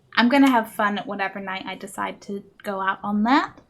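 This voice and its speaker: Noticeable background noise fills the space. Over it, a woman with a fairly high pitch talks at a moderate speed. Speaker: video game streamer. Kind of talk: casual chat while live gaming. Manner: animated.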